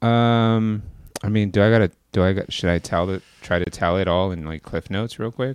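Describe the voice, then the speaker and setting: A man with a normal speaking voice talks at a moderate pace and fairly low pitch, with fairly even intonation over a quiet background. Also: dry, close sound with no echo. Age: 30s. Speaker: podcast co-host. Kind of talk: casual chat.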